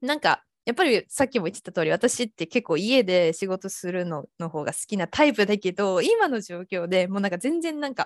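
In a very clean recording with a silent background and a dry, close sound with no echo, a woman with a normal speaking voice talks at a medium pitch and a fairly quick pace, with lively intonation and hardly any pauses. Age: 20s. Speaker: freelance designer. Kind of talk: casual chat.

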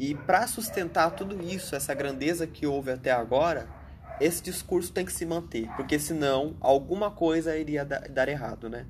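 A man speaks in an ordinary speaking voice, fairly high in pitch. His pace is moderate and his pitch varies in an ordinary way. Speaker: podcast co-host. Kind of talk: casual political discussion.

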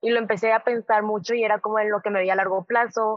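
With a normal speaking voice, a woman speaks at a moderate pace in a fairly high pitch with ordinary pitch variation. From southern Mexico, Tabasco. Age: 20s. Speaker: medical student. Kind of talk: interview. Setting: video call. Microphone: remote call audio, lower quality.

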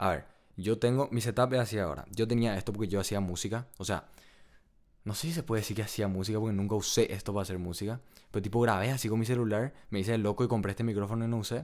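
His speech rushes along very fast. The man's pitch moves up and down in an ordinary way. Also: fairly low pitch for a man. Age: 20s. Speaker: economics student, podcast co-host. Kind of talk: casual chat.

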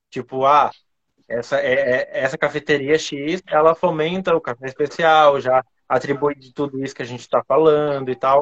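Speaking at a moderate pace with a Florianópolis accent, a man uses a fairly high pitch and fairly even intonation, with big swings in loudness. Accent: Florianópolis 'manezinho'. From Florianópolis, Brazil. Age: 30s. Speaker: coffee trainer. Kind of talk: casual chat.

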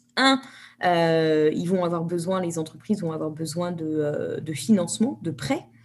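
A woman with an unremarkable speaking voice, fairly low in pitch, talks at a moderate pace with lively intonation. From France. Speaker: environmental activist, NGO founder. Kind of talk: interview.

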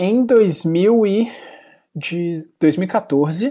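The background is quiet as a man speaks in a dark, mellow tone. His pitch varies in an ordinary way. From Brazil, Belo Horizonte (Minas Gerais). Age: 20s. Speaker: small business owner. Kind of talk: interview.

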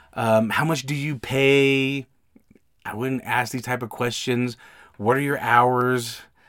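A man with an American accent at medium pitch and a very slow pace. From US West, Utah. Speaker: podcast host and signing service owner. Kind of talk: solo podcast monologue with advice. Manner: conversational, animated, informal.

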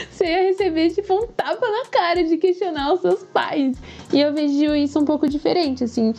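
A woman with lively intonation speaks at a moderate pace as noticeable noise plays behind her. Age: 20s. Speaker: climate activist. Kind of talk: interview. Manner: animated.

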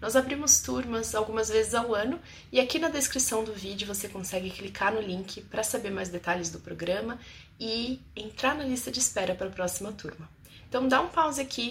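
This woman has a fairly high pitch, a warm tone and some vocal fry. She speaks at a moderate pace with lively intonation. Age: 30s. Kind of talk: testimony and advice monologue to camera. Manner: warm, intimate.

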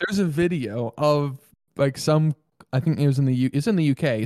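The speech runs at a moderate pace. The recording is very clean, with a silent background. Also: man. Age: 20s. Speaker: podcast co-host. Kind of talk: casual chat.

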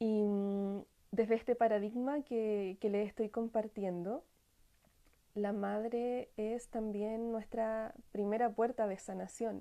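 Soft-spoken and very slow, a woman with a fairly high pitch and a dark, mellow tone talks in a monotone, flat intonation. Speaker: workshop facilitator on family healing. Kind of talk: live-stream talk. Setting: online live broadcast. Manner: halting, many repetitions. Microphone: sounds distant and quiet.

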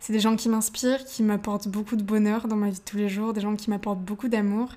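This woman's fairly high voice stays monotone, with flat intonation. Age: young. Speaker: podcast host. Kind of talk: motivational monologue. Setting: home, seated in living room.

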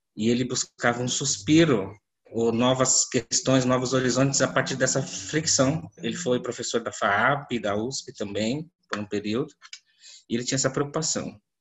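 At a medium pitch and moderate pace, a man speaks in a somewhat breathy voice with ordinary pitch variation. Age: 30s. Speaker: visual artist. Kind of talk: panel discussion. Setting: video call.

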